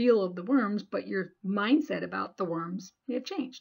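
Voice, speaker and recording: Speaking fairly slowly, a woman uses a medium pitch with vocal fry. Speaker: life coach. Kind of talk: solo podcast talk. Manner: halting, many restarts.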